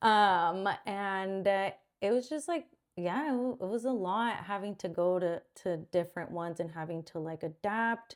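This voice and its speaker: A woman at medium pitch, ordinary pitch variation and a moderate pace, in a very clean recording with a silent background. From Mexico, then San Jose area, California. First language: Spanish. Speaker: podcast co-host. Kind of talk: casual chat.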